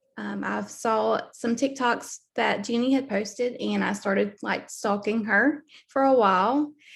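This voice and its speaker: A woman speaks with a Southern US accent at a very slow pace. Her voice is fairly high in pitch. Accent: Southern US (Georgia). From US South, Southeast Georgia. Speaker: network marketing team member. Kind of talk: video call interview. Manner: hesitant, many fillers.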